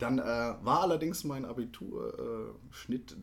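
Over noticeable background noise, a man at a medium pitch talks at a very slow pace. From Baden-Württemberg, near Hockenheim. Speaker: musical actor. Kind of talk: casual interview. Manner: hesitant, many fillers.

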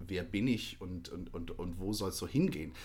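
A man speaks in a fairly low, somewhat breathy voice. His pace is moderate. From Baden-Württemberg, near Hockenheim. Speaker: musical actor. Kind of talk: casual interview. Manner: hesitant, many fillers.

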